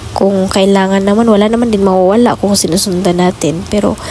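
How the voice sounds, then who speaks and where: Over noticeable background noise, a woman of medium pitch talks at a fairly quick pace in a monotone, flat intonation. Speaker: vlogger. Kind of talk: casual vlog talk. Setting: doing laundry at home.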